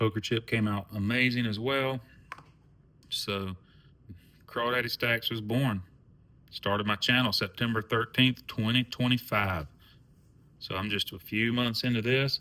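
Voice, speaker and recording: A man with a medium pitch has a bright, sharp tone and fairly even intonation. He speaks at a fairly slow pace with long, frequent pauses. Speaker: coin collecting YouTuber. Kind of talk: casual vlog monologue. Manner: relaxed, rambling.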